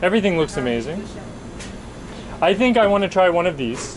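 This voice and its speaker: A man with a high pitch and a Canadian accent, lively intonation, a very fast pace broken by long, frequent pauses, and noticeable background noise. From Canada, Vancouver. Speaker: food travel vlogger. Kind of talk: casual chat. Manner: animated.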